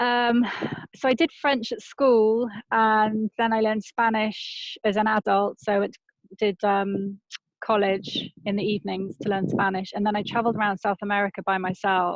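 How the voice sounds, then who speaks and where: Speaking in a British accent, a woman keeps a moderate pace, medium pitch and fairly even intonation. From Britain. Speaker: travel journalist and author. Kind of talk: casual interview chat.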